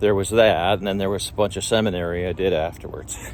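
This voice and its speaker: Amid noticeable background noise, a man talks with a very deep, low pitch and ordinary pitch variation. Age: 60s. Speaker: life group leader. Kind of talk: spiritual talk. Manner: halting with fillers.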